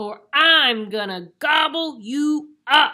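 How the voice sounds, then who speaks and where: In a put-on character voice, the speaker talks high at a very slow pace. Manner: menacing, gruff.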